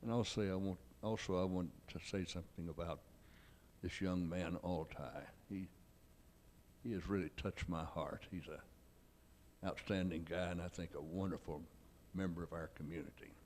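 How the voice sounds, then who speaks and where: In a Texan accent, a man with a very deep, low pitch speaks at a moderate pace, with fairly even intonation and long, frequent pauses. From Texas. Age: 80s+. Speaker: philanthropist and businessman. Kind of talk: stage interview. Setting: stage with audience.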